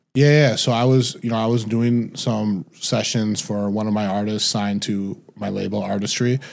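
In an American accent, a man speaks with a plain, everyday voice, fairly low in pitch, at a moderate pace. His intonation stays fairly even, with hardly any pauses. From Detroit, Michigan. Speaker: music manager and record label executive. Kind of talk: casual interview.

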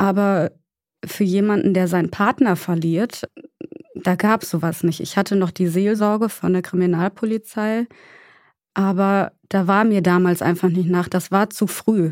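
In an unremarkable speaking voice, a woman talks at a fairly slow pace with medium pitch and fairly even intonation, in a dry, close sound with no echo on a very clean recording with a silent background. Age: 30s. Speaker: grieving guest. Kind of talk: personal testimony in therapy talk.

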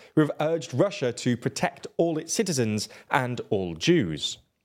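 Very wide pitch swings mark this man's voice, which carries vocal fry. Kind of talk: news reading. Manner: formal, even-paced, neutral newsreader delivery.

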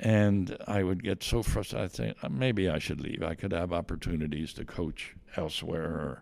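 The speaker has an American accent and vocal fry. The intonation is lively and the pace moderate. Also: man, very deep, low pitch for a man. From Pennsylvania (Myerstown, Lebanon County). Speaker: retired college soccer coach. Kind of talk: interview. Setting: studio, in person.

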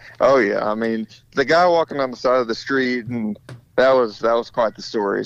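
A man with an American accent, a plain, everyday voice, medium pitch, ordinary pitch variation and a moderate pace. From Republic, Missouri. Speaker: dirt track racing driver. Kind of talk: casual interview. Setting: phone call. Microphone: breaking up on phone line.

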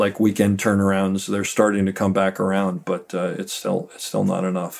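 The recording is very clean, with a silent background. A man speaks in an ordinary speaking voice at a fairly low pitch and a moderate pace. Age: 50s. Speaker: Steadicam operator. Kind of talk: interview.

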